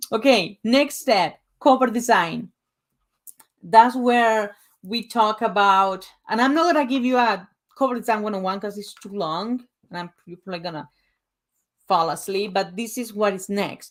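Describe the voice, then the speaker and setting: The speaker has a Spanish accent and a moderate pace, with ordinary pitch variation and big swings in loudness. The recording is very clean, with a silent background. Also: woman, fairly high pitch for a woman. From Uruguay. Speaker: author and book coach. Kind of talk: presentation / sales pitch. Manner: casual, conversational.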